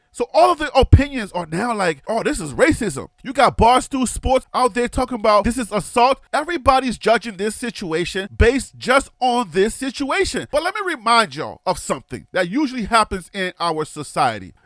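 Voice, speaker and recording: An American-accented man speaks at an extremely high pitch with very wide pitch swings and a moderate pace. The sound is dry and close with no echo, with music in the background. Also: hardly any pauses. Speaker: sports commentary youtuber. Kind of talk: casual video commentary. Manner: animated.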